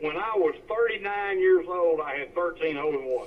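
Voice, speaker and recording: Against noticeable background noise, a man with a Southern US accent speaks in a high pitch with ordinary pitch variation. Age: 60s. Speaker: amateur golfer. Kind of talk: casual chat.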